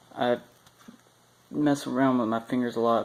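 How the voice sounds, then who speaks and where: The speech comes at a fairly slow pace, with noticeable background noise behind it. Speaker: vlogger. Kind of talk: drug trip report monologue. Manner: trembling voice; halting, stuttering.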